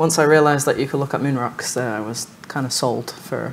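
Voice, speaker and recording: A woman with a Manchester accent speaks at a very deep, low pitch with fairly even intonation. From northern England, Manchester. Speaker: lunar geologist. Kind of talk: panel discussion.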